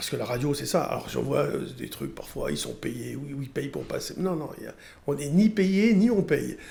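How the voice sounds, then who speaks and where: A man talks at a moderate pace. Room echo is audible around his voice. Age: 60s. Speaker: trader and radio commentator. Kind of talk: casual interview chat. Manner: hesitant, with fillers.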